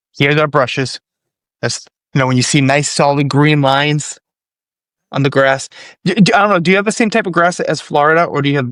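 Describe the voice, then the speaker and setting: A man with a Boston accent talks with ordinary pitch variation and long, frequent pauses on a very clean recording with a silent background. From Boston area, US. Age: 40s. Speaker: video content creator. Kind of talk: podcast interview. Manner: repetitive, stammering restarts.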